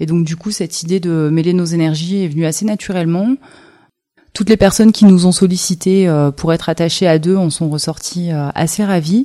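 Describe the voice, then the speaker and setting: A woman with a fairly low pitch and a dark, mellow tone talks at a moderate pace with fairly even intonation. The recording is very clean, with a silent background. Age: 30s. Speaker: rope bondage teacher and artist. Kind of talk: interview. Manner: halting.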